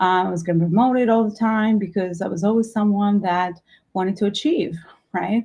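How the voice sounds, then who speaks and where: The speaker talks at a fairly quick pace with an Albanian accent. The tone is dark and mellow, somewhat breathy. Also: woman, medium pitch for a woman, ordinary pitch variation. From Albania, moved to New York at fifteen. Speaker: entrepreneur and business coach. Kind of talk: workshop talk.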